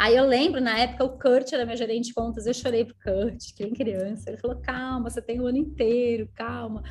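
With hardly any pauses, a woman talks at a fairly quick pace and a fairly high pitch, with vocal fry. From southern Brazil, Rio Grande do Sul (Canela/Gramado). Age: 30s. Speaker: network marketing leader. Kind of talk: casual interview chat, storytelling. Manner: animated.

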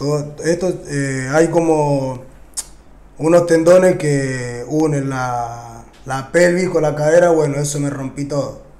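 With fairly even intonation, a man speaks amid audible room echo and noticeable background noise. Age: 20s. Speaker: urban music artist. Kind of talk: interview. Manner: casual slangy speech with frequent fillers.

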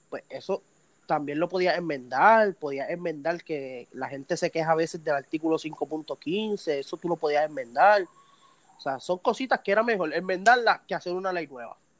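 At a moderate pace, a man speaks in a high pitch, the sound dry and close with no echo. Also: ordinary pitch variation. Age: 20s. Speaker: competitive shooter. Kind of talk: casual interview.

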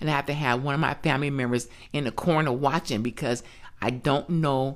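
A woman with an American accent and a very deep, low pitch, in a very clean recording with a silent background. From US West Coast, California. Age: 60s. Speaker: grandmother sharing abuse survivor story. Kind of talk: testimony.

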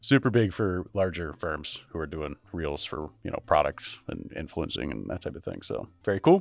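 Very deep and low with vocal fry, a man talks at a moderate pace with lively intonation and big swings in loudness. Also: hardly any pauses, very clean recording, silent background. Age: 20s. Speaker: IT podcast co-host. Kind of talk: casual chat.

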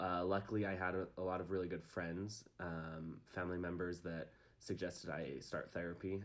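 A man with an American accent speaks at a moderate pace. His pitch is very deep and low, with fairly even intonation. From Utah, US. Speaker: recent graduate interviewee. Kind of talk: personal testimony interview.

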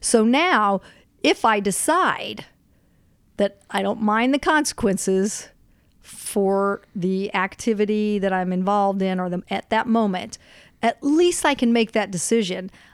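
A woman's ordinary speaking voice, medium in pitch with ordinary pitch variation, at a fairly slow pace in a very clean recording with a silent background. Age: 50s. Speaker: teacher. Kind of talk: casual chat.

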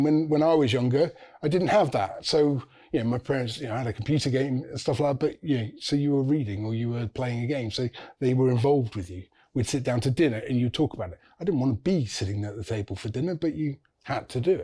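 A man with an English accent speaks very fast in a medium pitch with ordinary variation. His somewhat breathy voice has a dark, mellow tone in a very clean recording with a silent background. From England. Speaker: university student. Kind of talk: casual chat.

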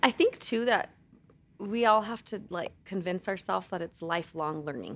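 A woman with a plain, everyday voice at medium pitch, ordinary pitch variation, and a moderate pace. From Colorado, San Luis Valley. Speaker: nonprofit executive director. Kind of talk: casual interview.

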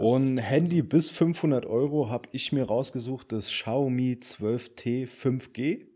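A man's medium-pitched voice with a dark, mellow tone at a very slow pace. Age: 20s. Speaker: podcast co-host. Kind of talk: casual chat.

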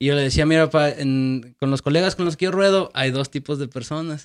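At a moderate pace, a man with a fairly high pitch and fairly even intonation uses an ordinary speaking voice. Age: 30s. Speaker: podcast host. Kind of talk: casual interview chat.

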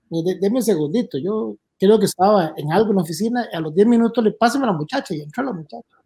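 A man with a high voice, lively intonation and a very fast pace, in a dry, close sound with no echo. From Costa Rica, Puntarenas. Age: 50s. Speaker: former security official. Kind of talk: casual interview. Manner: halting, repetitive.

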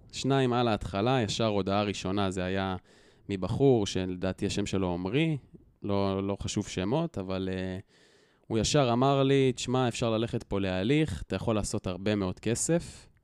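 A man speaks at a fairly slow pace with ordinary pitch variation and a fairly low pitch. It is a normal speaking voice. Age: 20s. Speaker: educator, target of online shaming. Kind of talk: interview storytelling.

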